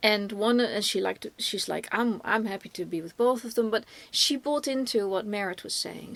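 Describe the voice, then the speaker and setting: In a Dutch accent, a woman talks at a fairly quick pace with a fairly high pitch. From Netherlands. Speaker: film reviewer, podcast co-host. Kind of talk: casual film review discussion. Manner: halting, many fillers and restarts.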